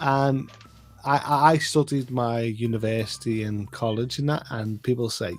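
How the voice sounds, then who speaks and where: Over music in the background, a man with a Liverpool accent speaks with fairly even intonation. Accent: Liverpool (Scouse). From northwest England, Liverpool. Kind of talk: casual chat.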